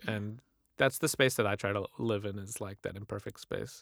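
An unremarkable speaking voice at a fairly quick pace, in a very clean recording with a silent background and a dry, close sound with no echo. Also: man. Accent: General American. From US Midwest. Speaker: writer and podcast host. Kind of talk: casual interview.

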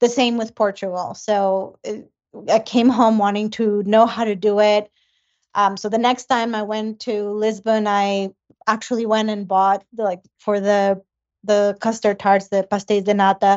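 A woman with a medium pitch talks in a monotone, flat way. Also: fairly slow pace. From Ecuador. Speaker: home baker and food blogger. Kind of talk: casual interview chat. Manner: hesitant, many fillers.

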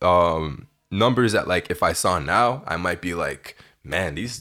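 Over a silent background in a very clean recording, a man with a Canadian accent uses lively intonation and vocal fry. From Ontario, Canada. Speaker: digital creator and music curator. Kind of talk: casual chat.

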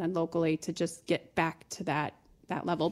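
A normal speaking voice with an American accent at a fairly quick pace, on a very clean recording with a silent background. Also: woman. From Ohio, Toledo. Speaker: mortgage branch manager. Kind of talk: interview.

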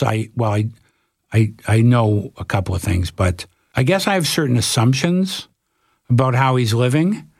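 Speaking with a Canadian accent at a moderate pace, a man has an unremarkable speaking voice at a medium pitch. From Canada, Toronto. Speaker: documentary filmmaker. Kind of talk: casual interview.

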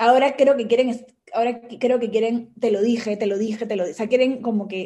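Her voice is fairly high in pitch yet dark and mellow in tone, and this woman keeps a moderate pace. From Peru. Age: 30s. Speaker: former government minister. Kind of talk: interview conversation.

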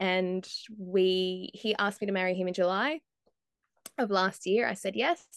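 A woman with a slight Australian accent speaks at medium pitch and a moderate pace, with ordinary pitch variation. The sound is dry and close with no echo, over a quiet background. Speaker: motorsport journalist. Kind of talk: casual interview chat.

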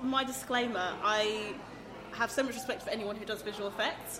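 A woman speaks over noticeable background noise. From abroad, a country that had a coup. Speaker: podcaster. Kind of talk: casual chat. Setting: recorded live in a cafe venue.

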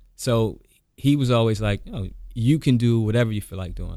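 With an American accent, a man talks in a dark, mellow tone and fairly even intonation, captured in a very clean recording with a silent background. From US, Washington DC (Southeast). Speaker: attorney and former college football player. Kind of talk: casual interview.

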